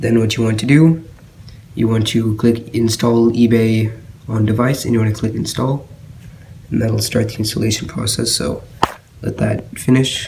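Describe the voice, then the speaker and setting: A man's medium-pitched voice at a moderate pace, fairly even in intonation, with long, frequent pauses and noticeable background noise. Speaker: tech tutorial maker. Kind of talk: screen-recorded tech tutorial. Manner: casual, hesitant with fillers.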